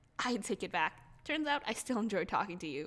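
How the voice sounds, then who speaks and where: This put-on character voice is raspy, moves at a fairly quick pace and swings very widely in pitch. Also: woman, fairly high pitch for a woman. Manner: gleeful.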